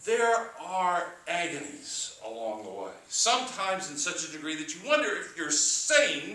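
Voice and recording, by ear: The voice sounds natural. It is reading aloud.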